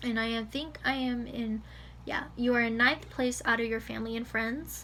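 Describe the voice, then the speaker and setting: A woman speaks in an American accent, with audible room echo. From California. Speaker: vlogger. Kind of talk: casual vlog reading results. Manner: fast; halting, many fillers.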